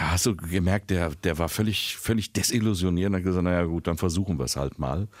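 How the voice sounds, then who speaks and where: A moderate pace and ordinary pitch variation, captured on a very clean recording with a silent background. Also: man. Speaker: podcast co-host and voice-over artist. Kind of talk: casual chat.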